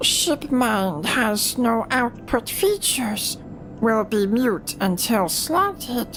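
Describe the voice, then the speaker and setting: A put-on character voice at a fairly high pitch moves at a very slow pace over loud music in the background. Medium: game stream. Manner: clipped, broken telegraphic speech.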